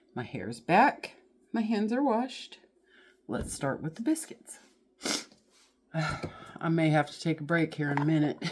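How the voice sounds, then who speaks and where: A woman with a Southern US accent, fairly low in pitch, fairly slow with long, frequent pauses, very wide pitch swings and big swings in loudness. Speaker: home cooking channel host. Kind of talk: cooking tutorial. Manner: casual, folksy.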